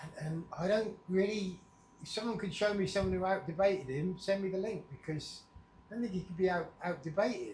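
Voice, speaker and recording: Someone talks fairly quickly in an English accent with ordinary pitch variation. Room echo is audible. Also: man. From England. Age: 60s. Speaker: vlogger. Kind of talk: casual vlog monologue. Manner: unscripted, meandering.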